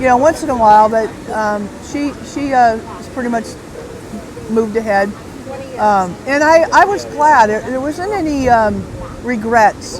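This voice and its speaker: Amid noticeable background noise and audible room echo, a woman with an American accent speaks at a fairly slow pace in a fairly high pitch, her lively intonation marked by long, frequent pauses. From Southern California. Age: 60s. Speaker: retired bodyboard company founder. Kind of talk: podcast interview. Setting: outdoor beach event.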